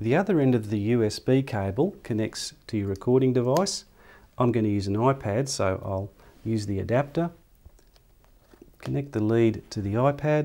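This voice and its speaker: A man's dark, mellow tone at a moderate pace, broken by long, frequent pauses. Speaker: presenter. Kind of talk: tutorial. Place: studio.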